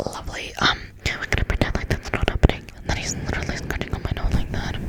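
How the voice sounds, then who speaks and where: Someone whispers at a very fast pace against noticeable background noise. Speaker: ASMR content creator. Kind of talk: whispered ASMR ramble talking to camera. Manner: whispered, casual, chatty.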